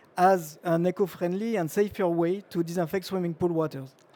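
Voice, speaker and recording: Delivered at a moderate pace in a French accent, the dark, mellow voice keeps a fairly even intonation on a very clean recording with a silent background. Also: man. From France. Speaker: chemical engineer and industry speaker. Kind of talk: trade show presentation. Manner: hesitant, frequent uh fillers.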